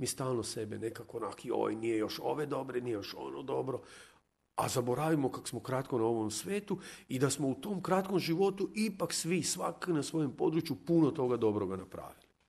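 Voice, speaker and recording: In a Zagreb accent, a man with medium pitch and vocal fry speaks at a fairly quick pace with very wide pitch swings against a quiet background. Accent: Zagorje kajkavian-tinged Zagreb Croatian. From Croatia, Hrvatsko zagorje (near Lobor, Golubovec). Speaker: communication scientist. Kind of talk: radio interview chat.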